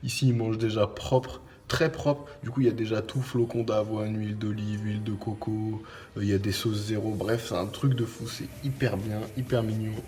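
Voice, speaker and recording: Music plays in the background as a man speaks at a moderate pace with a fairly low pitch and ordinary pitch variation. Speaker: bodybuilding vlogger. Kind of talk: vlog. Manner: soft-spoken.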